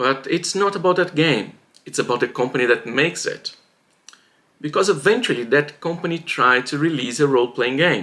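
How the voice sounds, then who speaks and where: A man's bright, sharp voice with lively intonation and a non-native accent. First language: not English. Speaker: writing vlogger. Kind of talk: casual vlog monologue. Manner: halting, with fillers and restarts.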